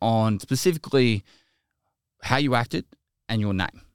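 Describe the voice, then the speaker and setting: On a very clean recording with a silent background, a man speaks. He has an Australian accent and a fairly quick pace. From Australia, Geelong, Victoria. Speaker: video game streamer, army veteran. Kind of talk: casual interview.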